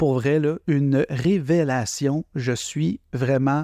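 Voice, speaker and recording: Against a quiet background with dry, close sound and no echo, a man with a Quebec accent speaks very slowly in a fairly high pitch, his tone dark and mellow and his intonation fairly even. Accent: Québécois. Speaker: poet and podcaster. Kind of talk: casual chat. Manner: spontaneous, improvised.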